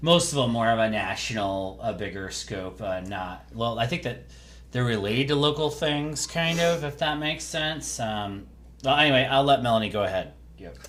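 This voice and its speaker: Lively intonation runs through a man's speech amid audible room echo. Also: medium pitch for a man, moderate pace. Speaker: podcast co-host. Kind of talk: casual chat. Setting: home podcast recording, separate mics. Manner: halting, many fillers; varies in volume.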